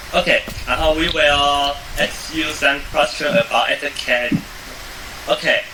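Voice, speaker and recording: At a fairly slow pace with long, frequent pauses, a man speaks at very even loudness over noticeable background noise. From Taiwan. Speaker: student interviewer. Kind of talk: interview. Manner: halting.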